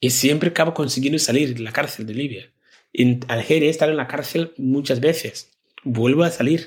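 Somewhat breathy and fairly high-pitched, a man talks at a moderate pace with fairly even intonation. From Ghana, rural village. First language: a Ghanaian language (speaking Spanish). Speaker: social entrepreneur, NGO founder. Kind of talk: interview testimony.

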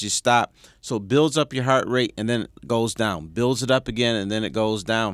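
This voice has a Detroit accent. The sound is dry and close, with no echo. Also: man. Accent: Detroit American English. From Detroit, US Midwest. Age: 60s. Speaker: sports columnist and radio host. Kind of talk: casual interview.

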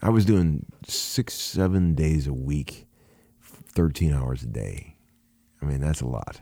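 Moving at a very slow pace, the voice has a dark, mellow tone and lively intonation. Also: man, very deep, low pitch for a man. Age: 50s. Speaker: session guitarist. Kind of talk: casual chat. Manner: stammering repetitions.

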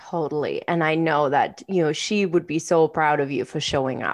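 This woman's pitch is very deep and low. The background is quiet. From outside Canada, immigrated at 21. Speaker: podcast co-host, coach and entrepreneur. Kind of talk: casual conversational podcast chat.

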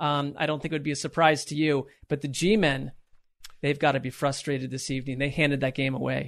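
A man speaks in an ordinary speaking voice with an American accent. His pitch is fairly high and his pace fairly quick, over a quiet background. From Connecticut. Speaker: sports podcast co-host. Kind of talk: casual chat.

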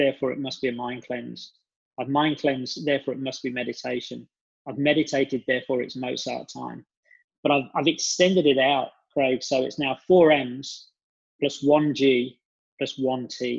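At a moderate pace, the voice holds a monotone, flat intonation. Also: man. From England, West Midlands (Birmingham). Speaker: business coach and speaker. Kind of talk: podcast interview.

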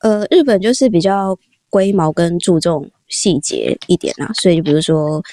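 Dark and mellow in tone, a woman's voice moves at a fairly slow pace with lively intonation, captured dry and close with no echo on a very clean recording against a silent background. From Taiwan. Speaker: office worker abroad. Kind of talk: casual interview chat.

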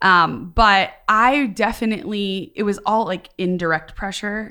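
The voice, in an American accent, has a bright, sharp tone on a very clean recording with a silent background. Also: woman. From US Midwest. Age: 30s. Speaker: youth ministry leader. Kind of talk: casual panel discussion.

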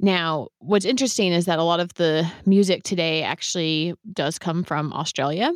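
With an American accent and an ordinary speaking voice, a woman talks at a moderate pace with hardly any pauses, a fairly low pitch and ordinary pitch variation, in a very clean recording with a silent background and a dry, close sound with no echo. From US West Coast, San Francisco Bay Area. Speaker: podcast host. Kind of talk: interview conversation.

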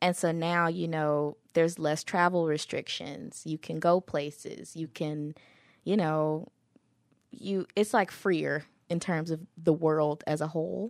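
On a very clean recording with a silent background, a woman speaks slowly in an unremarkable speaking voice, fairly low in pitch with fairly even intonation. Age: 20s. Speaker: podcast host. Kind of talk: casual chat. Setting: studio.

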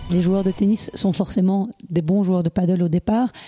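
A woman with a dark, mellow, somewhat breathy tone speaks at a fairly slow pace and medium pitch with ordinary pitch variation, in a dry, close sound with no echo. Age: 40s. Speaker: podcast host. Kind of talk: interview. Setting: at the guest's home.

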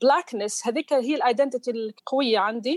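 The delivery moves at a fairly quick pace, with a dry, close sound and no echo. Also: woman. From southern Tunisia. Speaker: researcher and journalist. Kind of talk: interview. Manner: mixes English into Arabic.

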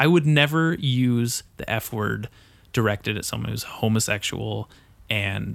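A man with an ordinary speaking voice, fairly low pitch and ordinary pitch variation. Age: 20s. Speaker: podcast host. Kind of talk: casual chat. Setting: studio.

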